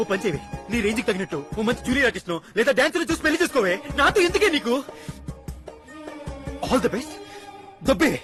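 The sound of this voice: Over faint music in the background, a put-on character voice with a fairly bright tone races along at a fast pace with big pitch swings. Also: man, extremely high pitch for a man.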